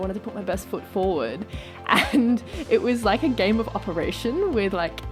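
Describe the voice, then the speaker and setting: A woman speaks with an Australian accent and lively intonation. Music plays in the background. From rural New South Wales, Australia. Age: 20s. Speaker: dentist. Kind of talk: vlog monologue.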